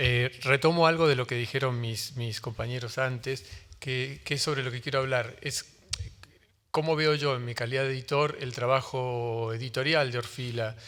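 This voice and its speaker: A man speaks in a Rioplatense accent. His pitch is medium and his intonation fairly even. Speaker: book publisher on a panel. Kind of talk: panel talk. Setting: book fair panel with audience. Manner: fast; hesitant, many fillers.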